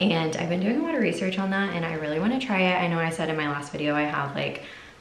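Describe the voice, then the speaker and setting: A woman's very fast speech, fairly low in pitch with ordinary pitch variation, amid audible room echo and light background noise. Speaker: mom vlogger. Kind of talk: casual vlog chat. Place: bathroom. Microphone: phone near.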